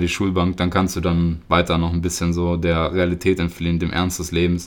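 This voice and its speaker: This man's pitch is very deep and low. He speaks at a fairly quick pace. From Germany, near Göttingen (Lower Saxony). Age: 20s. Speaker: podcast host. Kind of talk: personal monologue. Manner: hesitant, many filler sounds.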